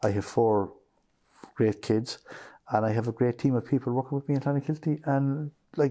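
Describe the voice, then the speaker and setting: With a West Cork accent, a man talks at a fairly quick pace in a dark, mellow tone at a medium pitch, using ordinary pitch variation and long, frequent pauses, on a very clean recording with a silent background. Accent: West Cork Irish. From Ireland, West Cork. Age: 60s. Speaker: business owner. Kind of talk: interview.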